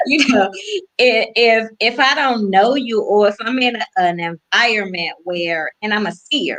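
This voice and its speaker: A woman with an American accent speaks in an unremarkable speaking voice, fairly high in pitch with lively intonation, at a fairly slow pace. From Washington DC area. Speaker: guest on women's faith talk show. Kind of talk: casual faith interview.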